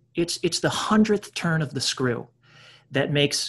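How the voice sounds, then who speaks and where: A man talks at a moderate pace with lively intonation and some vocal fry. The background is quiet. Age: 30s. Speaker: actor and podcast host. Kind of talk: casual chat.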